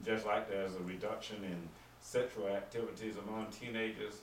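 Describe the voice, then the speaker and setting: Over noticeable background noise and audible room echo, a man with a Southern US accent speaks at a moderate pace in a fairly low, monotone, flat voice. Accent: Southern US (Georgia). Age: 60s. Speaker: deputy coroner. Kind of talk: town hall talk. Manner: halting.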